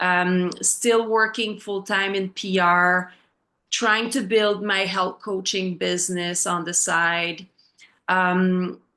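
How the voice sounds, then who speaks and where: In a French accent, the speaker goes at a very slow pace with a monotone, flat delivery and a bright, sharp tone against a quiet background. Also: woman, medium pitch for a woman. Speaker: health coach. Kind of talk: personal testimony in a group call. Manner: halting, many fillers.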